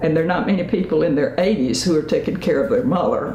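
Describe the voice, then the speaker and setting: Music plays behind a woman speaking with an American accent at a fairly low pitch with lively intonation. Audible room echo surrounds her voice. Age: 80s+. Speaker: senior interviewee. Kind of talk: interview. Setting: home studio. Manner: halting.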